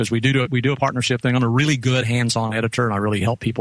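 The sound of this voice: The intonation stays fairly even. It comes from an unforced reading voice.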